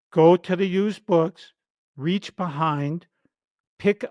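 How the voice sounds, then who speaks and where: A man with a high voice speaks at a very slow pace, the sound dry and close with no echo. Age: 70s. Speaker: researcher and lecturer on esoteric wisdom. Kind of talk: interview storytelling.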